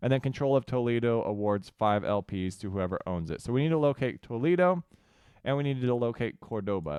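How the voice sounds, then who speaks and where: Here a man with a medium pitch and ordinary pitch variation talks at a fairly quick pace in a plain, everyday voice. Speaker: gaming youtuber. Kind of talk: gameplay commentary. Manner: casual with filler words.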